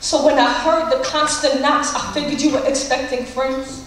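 Through strong room echo and light background noise, a woman's high voice holds a flat, monotone intonation at a moderate pace. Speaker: slam poet. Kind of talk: slam poetry performance. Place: stage.

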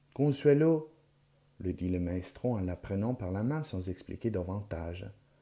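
Speaking at a fairly slow pace, a man uses lively intonation and a dark, mellow tone. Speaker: audiobook reader, library volunteer. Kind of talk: literary audiobook reading of a French novel chapter, with Italian intro and outro. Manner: measured, expressive storytelling pace; shifts tone to voice characters: pompous old teacher, chirpy girls.

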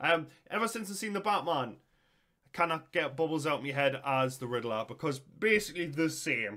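Over a quiet background, a man with a Geordie accent speaks at a fairly quick pace with lively intonation and a bright, sharp tone. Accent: Geordie (Newcastle) English. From northern England. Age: 30s. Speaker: YouTube reactor. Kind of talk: casual reaction commentary.

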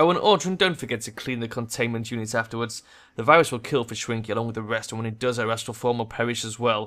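This is a natural reading voice. It carries the text through.

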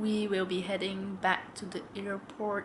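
A woman talks at a very slow pace over noticeable background noise. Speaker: travel vlogger. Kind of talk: casual vlog chat. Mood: excited about trip. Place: home room. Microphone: phone near.

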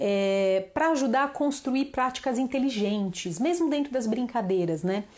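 A woman with a fairly high voice speaks fairly slowly in an animated tone with lively intonation. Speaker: children's yoga teacher. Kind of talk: online class / live talk. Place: home room. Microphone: lapel.

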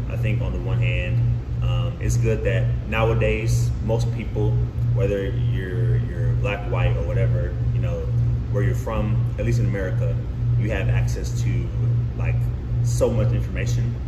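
Over music in the background, a man talks at a moderate pace with long, frequent pauses. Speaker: guest. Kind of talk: interview answer. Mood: thoughtful, calm. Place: home room.

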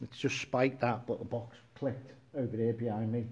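The man's voice is somewhat breathy and dark, mellow in tone, with fairly even intonation over light background noise. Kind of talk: casual livestream chat. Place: gym.

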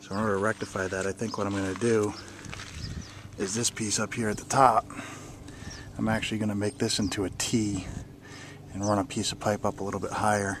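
Very fast, monotone speech from a man with flat intonation, a dry sound with no echo and noticeable background noise. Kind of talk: casual walkthrough tutorial. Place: garden. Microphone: phone near.

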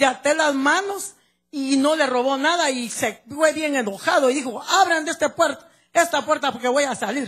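Pitched high, a woman talks with ordinary pitch variation. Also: quiet background. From Guatemala. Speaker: church member giving testimony. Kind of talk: testimony. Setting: church service, handheld microphone. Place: church. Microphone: handheld.

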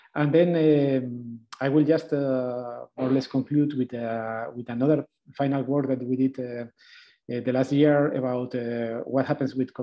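A man speaks at a moderate pace in a flat, monotone intonation over a quiet background. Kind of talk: lecture. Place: home room. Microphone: webcam.

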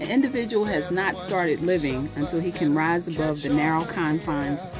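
A woman with an American accent at a moderate pace, clear music playing in the background. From Newark, New Jersey. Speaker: public defender attorney. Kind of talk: interview answer. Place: meeting room.

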